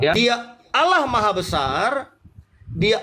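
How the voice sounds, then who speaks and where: A man uses a raised, projected voice at an extremely high pitch, bright and sharp in tone, at a moderate pace. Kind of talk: religious debate.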